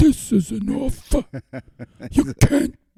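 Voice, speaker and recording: A put-on character voice. It sits at a high pitch. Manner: quiet, whispery, menacing.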